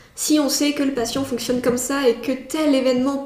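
A woman speaks in a high, flat monotone over noticeable background noise. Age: 20s. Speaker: psychiatric nurse. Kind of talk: interview.

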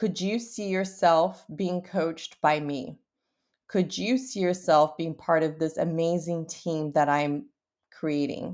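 In a very clean recording with a silent background, a woman with a fairly low pitch speaks very slowly in an upbeat tone, her pitch varying in an ordinary way. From Brazil. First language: Portuguese. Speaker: podcast host, entrepreneur. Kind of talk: podcast monologue, personal storytelling. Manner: upbeat, motivational.

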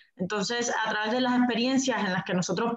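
With fairly even intonation, a woman speaks in a room with audible echo. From Cuba. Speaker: communications specialist. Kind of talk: group interview.

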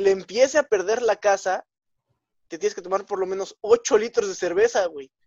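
With a Mexican accent, a man speaks at a moderate pace in a high pitch, with ordinary pitch variation and big swings in loudness. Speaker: podcast co-host. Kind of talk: casual chat.

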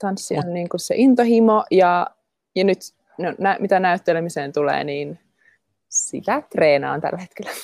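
The sound is dry and close, with no echo. Speech moves at a fairly slow pace. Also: woman, medium pitch for a woman. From Finland, Jyväskylä. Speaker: dancer and actress. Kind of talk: interview. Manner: halting.

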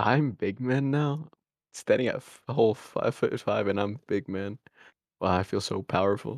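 Recorded dry and close with no echo against a quiet background, a man with an ordinary speaking voice talks at a medium pitch and a moderate pace with ordinary pitch variation. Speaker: podcast host. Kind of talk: casual chat. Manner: casual, laid-back.

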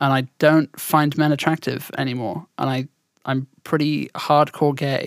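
A woman with a southern English accent speaks in a very deep, low voice, at a fairly slow pace and with fairly even intonation. The sound is dry and close with no echo. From southern England. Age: 20s. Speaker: podcast co-host, streamer. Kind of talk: casual chat. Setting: remote call.

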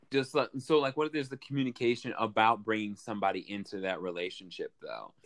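A man speaks at a fairly quick pace with medium pitch and ordinary pitch variation. His is a normal speaking voice, with big swings in loudness. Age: 20s. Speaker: podcast guest. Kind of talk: casual chat.

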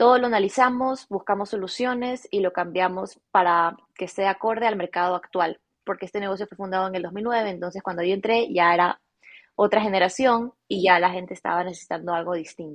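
In a plain, everyday voice, a woman of medium pitch talks at a fairly quick pace with ordinary pitch variation. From Ecuador, Guayaquil. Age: 20s. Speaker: fashion business owner. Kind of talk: interview.

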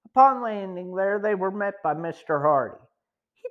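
A quiet background behind plain reading aloud

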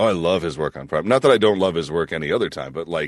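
Speaking at a very fast pace, a man uses a very deep, low pitch with vocal fry. The background is quiet. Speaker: voice actor. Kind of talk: casual chat.

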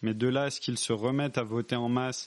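At a moderate pace, a man with a medium pitch talks in a plain, everyday voice. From France, rural area. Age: 20s. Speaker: civil servant. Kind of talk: casual interview.

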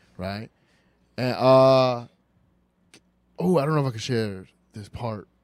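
At a fairly slow pace with long, frequent pauses, a man with an American accent speaks at medium pitch, showing ordinary pitch variation and big swings in loudness. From New York City. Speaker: comedian and podcast host. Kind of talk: casual chat, comedic banter.

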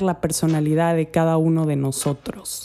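At a fairly slow pace, a woman speaks with a dark, mellow tone. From Spain, Andalusia. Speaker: health coach, podcast host. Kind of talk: podcast monologue. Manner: friendly.

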